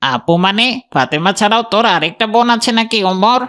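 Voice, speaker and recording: A man speaks in a cartoonish character voice, high-pitched and raised to project. His intonation is lively, his loudness very even and his pace moderate. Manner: brash, leering and mocking.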